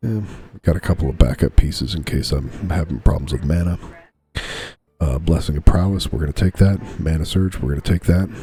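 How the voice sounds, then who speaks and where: Over music in the background, a man speaks quietly at a fairly quick pace. His pitch is very deep and low. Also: ordinary pitch variation. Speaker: gaming YouTuber. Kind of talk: gameplay commentary. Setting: home recording, bedroom with TV on. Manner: quiet, low voice.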